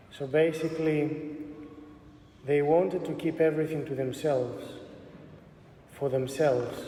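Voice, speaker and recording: Noticeable background noise runs under this recording. A man speaks at a fairly high pitch with fairly even intonation. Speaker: Orthodox bishop. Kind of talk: sermon delivered to a congregation.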